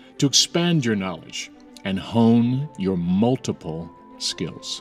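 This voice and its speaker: A man talks at a fairly slow pace with an American accent. Music plays in the background. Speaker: Broadway actor. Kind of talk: casual talk to camera, advice tips.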